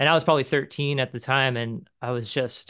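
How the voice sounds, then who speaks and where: An American accent at a moderate pace with fairly even intonation. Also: man. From Southern California. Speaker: painter and musician. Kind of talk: interview conversation. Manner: casual, filler-heavy with um and like.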